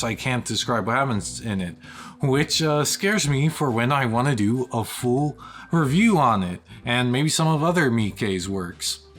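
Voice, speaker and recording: Against noticeable background noise, a man speaks at a fairly slow pace with lively intonation. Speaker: film reviewer YouTuber. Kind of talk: casual vlog review. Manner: halting with fillers.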